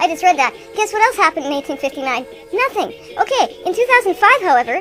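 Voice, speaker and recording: Over clear background music, a woman in a put-on character voice speaks very fast, squeaky and at an extremely high pitch. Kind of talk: improvised comic radio banter. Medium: comedy sketch. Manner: casual, rambling, wisecracking.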